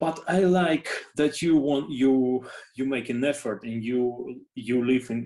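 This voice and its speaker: A man speaks with a Russian accent in a dark, mellow tone. His pace is very slow, with ordinary pitch variation. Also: medium pitch for a man. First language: not English. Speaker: orchestra conductor. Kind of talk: interview. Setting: video call. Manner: halting, many fillers and repeats.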